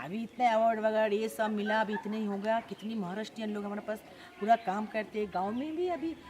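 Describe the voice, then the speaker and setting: Against noticeable background noise, a woman with a Bengali accent speaks at a moderate pace and a fairly high pitch, with ordinary pitch variation. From Bengal, India. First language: Bengali (speaking Hindi). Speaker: NGO co-founder. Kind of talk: interview.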